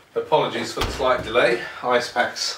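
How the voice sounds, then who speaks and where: Noticeable background noise sits behind this recording. A man talks at a medium pitch and a moderate pace. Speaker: product reviewer. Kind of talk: casual product review to camera. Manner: hesitant, conversational.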